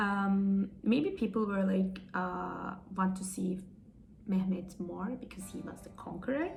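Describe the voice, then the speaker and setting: Over noticeable background noise and audible room echo, a woman with a Turkish accent speaks at a very slow pace, her loudness swinging widely. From Turkey. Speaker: YouTuber reviewing a TV series. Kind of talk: casual video review monologue. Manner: hesitant, many fillers.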